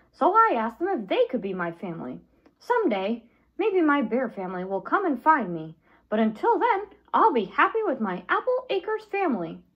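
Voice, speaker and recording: A put-on character voice, female-sounding and high-pitched, at a fairly quick pace with very wide pitch swings. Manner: excited, upbeat.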